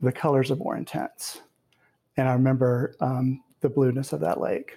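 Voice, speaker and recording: In an American accent, a man talks at a moderate pace with a medium pitch and a dark, mellow tone, somewhat breathy. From US South. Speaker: poet and professor. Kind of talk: interview with readings.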